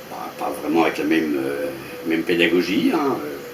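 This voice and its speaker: Through noticeable background noise and audible room echo, a man with a very deep, low pitch talks at a fairly slow pace, his voice making very wide pitch swings. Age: 60s. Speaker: retired school headmaster. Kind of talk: interview. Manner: halting, many hesitations.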